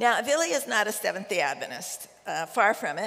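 A woman is speaking. Her pace is moderate. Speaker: guest. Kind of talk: sermon. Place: stage. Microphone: headset.

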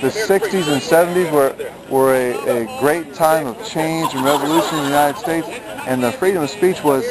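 Crowd noise fills the background as a man speaks at a moderate pace and a fairly high pitch, with a dry sound and no echo. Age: 40s. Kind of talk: open-air street preacher arguing campus free-speech rights with a campus officer. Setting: outdoors on a college campus. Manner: earnest, polite but insistent, repeating 'sir' while pressing his constitutional case; halting, stammering repetitions. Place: open country. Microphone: phone near.

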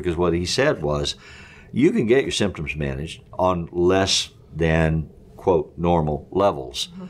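Lively intonation from a man speaking at a moderate pace. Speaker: counselor and podcast co-host. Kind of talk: casual discussion. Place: studio.

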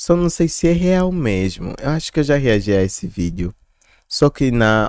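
A man's voice with very wide pitch swings, dry with no echo, against a quiet background. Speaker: reaction youtuber. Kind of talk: casual reaction commentary. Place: home room. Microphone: studio mic.

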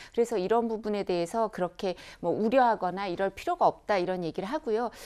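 A woman has a normal speaking voice with ordinary pitch variation. The background is quiet. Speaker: lawyer. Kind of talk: TV political panel discussion. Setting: studio.

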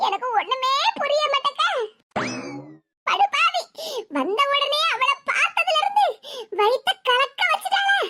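Sound effects play behind a woman's cartoonish, squeaky character voice, extremely high in pitch, fairly slow, lively in intonation and very even in loudness. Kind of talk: village comedy cartoon acting. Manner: gossipy, meddlesome, easily cowed.

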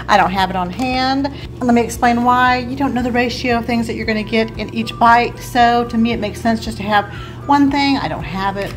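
Faint music sits in the background while a woman speaks at a fairly quick pace with ordinary pitch variation. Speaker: home cooking vlogger. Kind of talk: casual vlog chat. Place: kitchen. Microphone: phone near.

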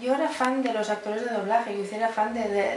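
Talking at a very fast pace with ordinary pitch variation, a woman is heard through audible room echo and light background noise. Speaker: voice actress. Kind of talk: interview answer. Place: home room. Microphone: camera far.

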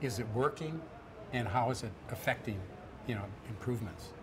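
A man's voice, with ordinary pitch variation and a moderate pace, comes through noticeable background noise. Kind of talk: interview answer. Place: hall.

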